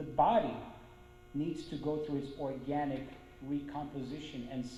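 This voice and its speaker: Fairly slow, fairly high-pitched male speech over noticeable background noise. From Brazil. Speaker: violinist, conductor and orchestra manager. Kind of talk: spiritist lecture.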